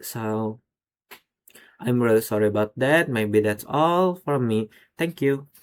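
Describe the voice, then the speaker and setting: A man with an Indonesian accent talks at a fairly slow pace and medium pitch. His delivery has ordinary pitch variation and long, frequent pauses. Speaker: university student. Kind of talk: class presentation. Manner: halting.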